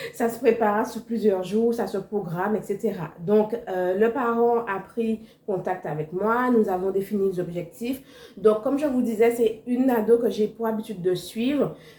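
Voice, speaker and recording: A woman's fairly high voice, with ordinary pitch variation, comes at a fairly slow pace through noticeable background noise. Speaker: cooking instructor, entrepreneur. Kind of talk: vlog.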